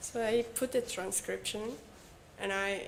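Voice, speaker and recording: Her pitch sits fairly high and rises and falls in an ordinary way. This woman's delivery is fairly slow. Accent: Mexican. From Mexico. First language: Spanish. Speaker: English learner, former call center agent. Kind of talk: casual chat, English practice conversation. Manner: halting.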